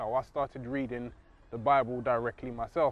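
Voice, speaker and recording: A man with a London accent. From England (London). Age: 30s. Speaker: convert to Islam, engineer. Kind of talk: testimony.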